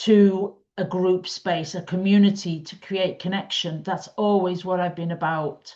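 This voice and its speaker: Against a quiet background, the speaker uses a northwest English accent with fairly even intonation. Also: woman. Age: 60s. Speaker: quilting teacher and community founder. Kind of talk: casual talk to camera. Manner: chatty, with frequent ums.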